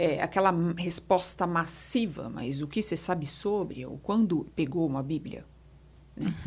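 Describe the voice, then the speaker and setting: A woman speaks at a fairly slow pace in a fairly low pitch, with vocal fry. The recording is very clean, with a silent background. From São Paulo, Brazil. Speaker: etiquette mentor. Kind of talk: podcast interview answer.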